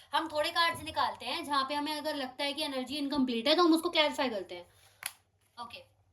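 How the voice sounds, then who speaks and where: Raising and projecting her voice, a woman speaks at a high pitch with ordinary pitch variation. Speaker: tarot card reader. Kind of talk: tarot reading to camera. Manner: fast.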